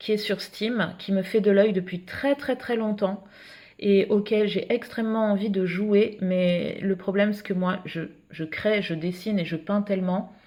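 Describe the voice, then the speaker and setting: The tone is dark and mellow, somewhat breathy, at a fairly slow pace. The recording is very clean, with a silent background. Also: woman. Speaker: illustrator and art vlogger. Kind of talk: casual vlog talk. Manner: hesitant, many fillers.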